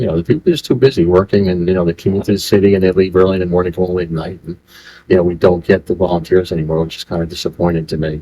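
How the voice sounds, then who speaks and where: With an American accent, a man talks in a very deep, low voice of dark, mellow tone. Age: 70s. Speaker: volunteer firefighter. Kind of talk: oral history interview. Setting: library historical center. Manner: fast.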